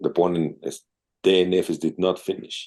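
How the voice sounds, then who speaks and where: At a fairly slow pace, a man speaks with a Mexican accent. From Mexico. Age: 60s. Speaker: open-water swimmer and businessman. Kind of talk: casual interview.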